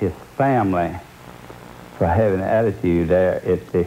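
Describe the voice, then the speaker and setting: A man's very deep, low voice carries through noticeable background noise. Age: 70s. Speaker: kidney transplant patient. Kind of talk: TV news interview answer.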